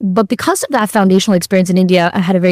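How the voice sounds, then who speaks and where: A woman with a New York accent speaks at a fairly low pitch, the recording very clean with a silent background and a dry, close sound with no echo. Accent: American (New York). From New York City, US. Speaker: law professor. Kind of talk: interview.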